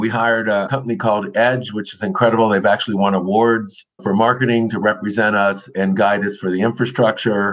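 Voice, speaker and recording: A man speaks at a fairly low pitch and a fairly quick pace. His intonation is monotone and flat. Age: 60s. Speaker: film industry association chair. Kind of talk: interview. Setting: remote recording.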